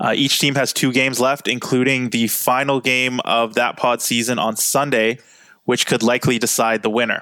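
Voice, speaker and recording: A bright, sharp tone in monotone, flat intonation at a moderate pace. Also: man. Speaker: podcast host. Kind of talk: podcast hosting and interviewing.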